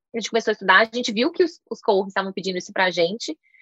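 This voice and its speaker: A woman's voice, dry and close with no echo. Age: 30s. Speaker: startup founder. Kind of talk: interview.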